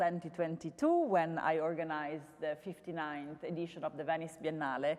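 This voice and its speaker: The speaker is a woman with a fairly low pitch. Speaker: curator. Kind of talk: public talk. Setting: stage with audience. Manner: loud.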